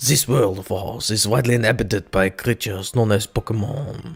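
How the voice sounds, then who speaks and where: Using a put-on character voice in a French accent, a man speaks at a fairly quick pace. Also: medium pitch for a man. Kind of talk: cliche, stereotyped.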